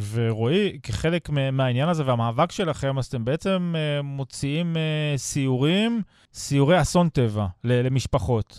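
With a normal speaking voice, a man talks at a fairly slow pace with a fairly high pitch and lively intonation, barely pausing. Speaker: radio host. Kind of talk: radio interview. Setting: studio.

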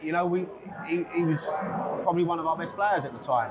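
A man talks at a very fast pace. Noticeable background noise runs behind him.

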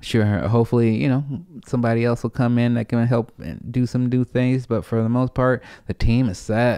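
The voice has a dark, mellow tone and monotone, flat intonation at a moderate pace. The background is quiet and the sound is dry, with no echo. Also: man. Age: 30s. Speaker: comedian and podcast host; comedian, podcast host. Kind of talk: casual chat. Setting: at home. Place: home room. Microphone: studio mic.

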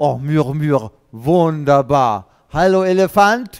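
A man's lively intonation comes through over a quiet background. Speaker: children's storyteller. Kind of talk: lively talk to children, streamed show. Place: stage. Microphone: headset.

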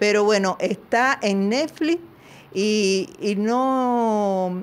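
This woman speaks with lively intonation. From Cuba. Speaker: interviewee, wife of former agent; interviewee. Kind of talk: interview. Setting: video call. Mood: firm, defiant. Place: home room. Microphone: handheld.

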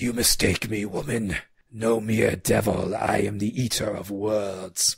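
Putting on a character voice, a man speaks at a fairly slow pace in a guttural, fairly low-pitched voice. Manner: menacing.

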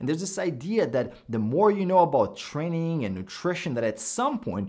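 A man's voice at a moderate pace with very wide pitch swings, over a quiet background. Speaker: fitness coach. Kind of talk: commentary. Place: home room.

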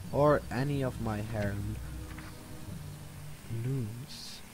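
A man talks at a medium pitch. Music can be heard behind him. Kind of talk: casual gameplay commentary. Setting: new microphone.

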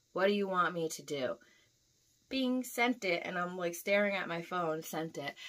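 The speaker is a woman. She sounds animated. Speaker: YouTuber, delivery driver; vlogger. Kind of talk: casual vlog storytelling. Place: home room. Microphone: camera far.

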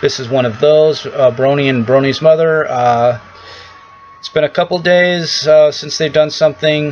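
Music plays in the background as a man speaks with fairly even intonation. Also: moderate pace. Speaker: vlogger. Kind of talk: casual vlog chat. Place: home room. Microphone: webcam.

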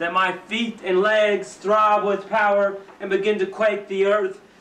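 Speaking fairly slowly, a man is heard with audible room echo around him. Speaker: poet. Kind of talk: poetry reading. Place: home room. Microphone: old recording.

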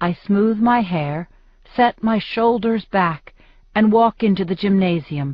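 The pitch moves with ordinary variation. The delivery is plain reading aloud.

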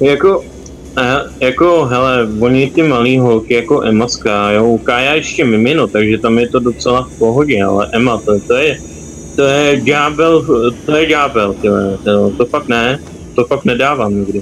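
A man talks at a moderate pace with an ordinary speaking voice. His pitch is medium, with ordinary pitch variation. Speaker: gamer streaming with friends. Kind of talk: casual gaming chat.

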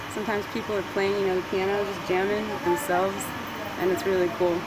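Loud background noise nearly covers a woman who talks at a moderate pace. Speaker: vlogger. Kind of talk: casual vlog chat. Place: station. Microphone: earbuds.

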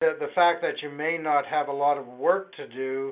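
A man at a fairly slow pace, with fairly even intonation. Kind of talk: answer to a caller's question. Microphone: phone line.

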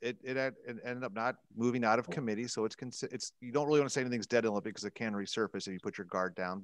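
A man at a very fast pace with ordinary pitch variation, against a quiet background. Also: dry sound with no echo. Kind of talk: interview answer. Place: office. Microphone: headset.

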